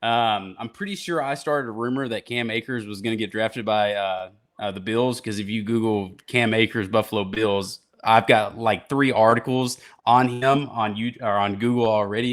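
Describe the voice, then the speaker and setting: On a very clean recording with a silent background, a man with a Southern US accent speaks at a moderate pace with fairly even intonation. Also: medium pitch for a man. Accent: southern twang. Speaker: podcast host.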